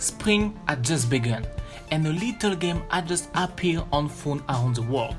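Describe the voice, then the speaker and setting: Music plays in the background as the speaker talks with a French accent. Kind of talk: gaming video commentary.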